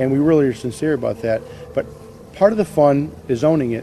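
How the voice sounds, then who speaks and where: A man with faint music in the background. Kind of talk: interview answer. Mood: sincere, reflective.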